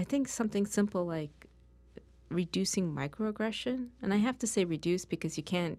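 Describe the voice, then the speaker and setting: In an American accent, a woman talks at a very fast pace. Her voice is fairly low in pitch, with a dark, mellow tone. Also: very clean recording, silent background. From New York. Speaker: diversity expert. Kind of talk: interview. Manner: clearly enunciated.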